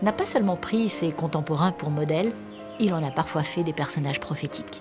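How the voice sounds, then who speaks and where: A woman's very deep, low-pitched voice with music in the background. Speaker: voice-over narrator. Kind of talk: documentary narration.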